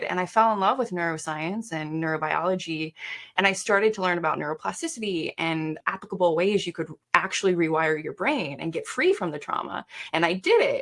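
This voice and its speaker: A woman at medium pitch and a fairly quick pace. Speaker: performance coach. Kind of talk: interview. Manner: fast.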